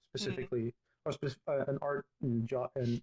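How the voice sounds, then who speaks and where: A man's fairly high, somewhat breathy voice, dry and close with no echo. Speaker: digital artist, game builder. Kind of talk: interview answer.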